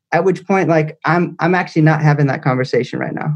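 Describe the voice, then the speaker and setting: Using a Californian accent, a man speaks with fairly even intonation. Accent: Californian American. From Northern California, Ukiah. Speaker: educator and author. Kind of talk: casual interview.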